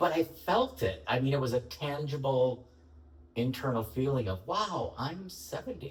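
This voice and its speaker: Noticeable background noise fills the clip. Over it, a man's voice sits at medium pitch. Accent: American. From Chicago, US Midwest. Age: 70s. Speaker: leather community activist and writer. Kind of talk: interview.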